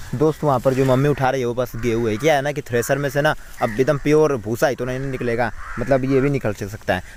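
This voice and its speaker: A man talks at a very fast pace. His pitch is medium, and his intonation fairly even. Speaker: village vlogger. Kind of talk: casual vlog narration. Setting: outdoors, farm.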